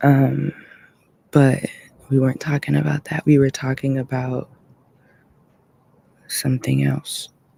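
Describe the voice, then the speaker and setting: A fairly slow pace with long, frequent pauses. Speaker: podcast host and livestreamer. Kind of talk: casual livestream chat.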